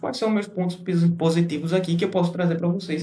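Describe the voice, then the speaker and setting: A man speaks with a high pitch for a man. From Brazil, Recife, Pernambuco. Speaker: TVDE fleet operator and YouTuber. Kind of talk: casual vlog talk to camera. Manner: halting, many fillers and restarts.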